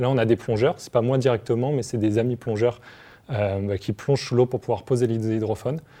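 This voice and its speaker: In a dark, mellow tone, a man talks with ordinary pitch variation. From Paris region, France. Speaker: marine bioacoustician. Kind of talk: explaining science to children. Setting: TV studio set.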